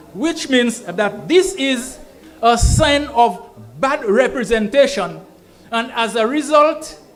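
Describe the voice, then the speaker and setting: A man with an extremely high pitch speaks very slowly with lively intonation. There is audible room echo and noticeable background noise. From Saint Lucia. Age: 70s. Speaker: political rally speaker. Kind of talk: political rally speech. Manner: code-switches English and Kweyol.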